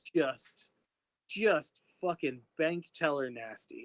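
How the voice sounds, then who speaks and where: Very slowly, a man talks with a dry, close sound and no echo. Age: 40s. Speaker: podcast host. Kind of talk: casual chat. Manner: animated.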